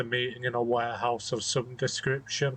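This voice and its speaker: A man with a British accent speaks at a moderate pace, his medium-pitched voice somewhat breathy. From Britain. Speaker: video game let's play commentator. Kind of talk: gameplay commentary. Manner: monotone.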